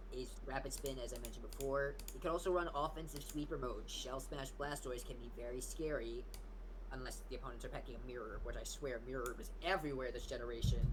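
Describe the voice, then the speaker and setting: A man talks at a very fast pace. Audible room echo hangs on his voice. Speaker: gaming league commentator. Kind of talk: casual chat. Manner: loud.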